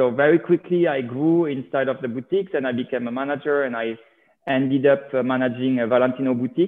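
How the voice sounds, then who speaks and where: Someone with a French accent talks at a very fast pace, with ordinary pitch variation. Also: man. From France. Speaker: reality TV personality. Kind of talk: interview.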